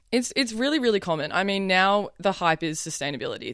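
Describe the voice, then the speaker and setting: A very fast-talking woman with an Australian accent. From southern New South Wales, Australia. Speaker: fashion model. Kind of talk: interview.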